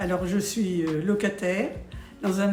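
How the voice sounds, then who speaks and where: Over music in the background, a woman talks at a very slow pace, her medium pitch held in fairly even intonation. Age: 80s+. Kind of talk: interview answer. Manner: hesitant.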